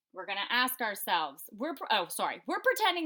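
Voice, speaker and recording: Loud and at a fairly quick pace, a woman speaks in a bright, sharp tone. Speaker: elementary school teacher. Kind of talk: remote math lesson for students. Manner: casual, frequent fillers.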